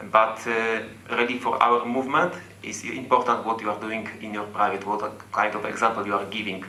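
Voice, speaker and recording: Noticeable background noise and audible room echo surround the recording. A man with a medium pitch speaks at a fairly quick pace with fairly even intonation. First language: not English. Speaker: football fan. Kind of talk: fan Q&A comment. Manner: halting.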